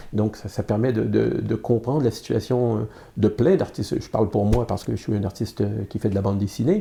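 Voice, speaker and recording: Against a quiet background, a man talks at a fairly quick pace with a dark, mellow tone, ordinary pitch variation and some vocal fry. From Quebec, Montreal. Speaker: comics artist and publisher. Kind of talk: interview. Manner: hesitant, many fillers and repetitions.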